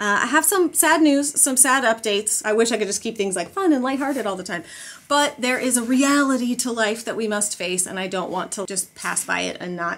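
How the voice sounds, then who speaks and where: A woman at a fairly quick pace with lively intonation. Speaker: family vlogger. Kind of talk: casual vlog chat. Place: home room. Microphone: phone near.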